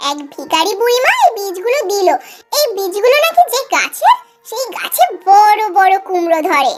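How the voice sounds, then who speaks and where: A squeaky, cartoonish character voice from a woman, extremely high in pitch, at a moderate pace with faint music in the background. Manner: warm, affectionate.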